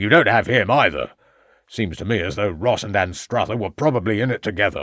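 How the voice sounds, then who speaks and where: A man puts on a raspy character voice with a fairly low pitch. He talks at a fairly quick pace with ordinary pitch variation. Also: very clean recording, silent background. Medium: read story. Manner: curt, clipped, bluff.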